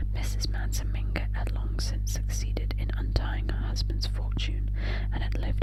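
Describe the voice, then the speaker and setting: Whispering in a soothing tone, a woman speaks at a moderate pace with noticeable background noise. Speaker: ASMR audiobook reader. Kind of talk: audiobook reading of a classic novel. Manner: up-close whisper, soothing.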